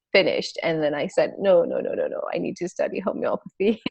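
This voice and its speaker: A woman with a French accent talks at a fairly quick pace. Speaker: homeopath. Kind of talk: interview chat.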